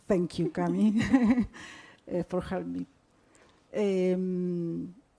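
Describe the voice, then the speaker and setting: A woman speaks very slowly in a Spanish accent. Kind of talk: panel discussion. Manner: halting.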